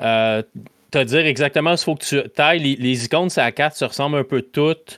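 An ordinary speaking voice, a man's at a fairly high pitch with ordinary pitch variation, moves at a moderate pace in a dry, close sound with no echo and a very clean recording over a silent background. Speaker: podcast host guest from another gaming show. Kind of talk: casual chat.

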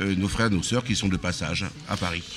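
A man's fairly low voice moves at a moderate pace while noticeable noise runs in the background. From Auvergne, Aveyron (France). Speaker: restaurant owner. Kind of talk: casual chat. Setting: live broadcast at his riverside venue.

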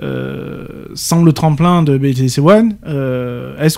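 Speaking with a southern French accent, a man has a fairly high pitch and ordinary pitch variation. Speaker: radio co-host. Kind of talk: live radio talk show.

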